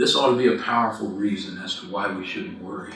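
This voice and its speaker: A man's voice comes with audible room echo. Noticeable background noise is also present. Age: 60s. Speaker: minister. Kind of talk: sermon. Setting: church.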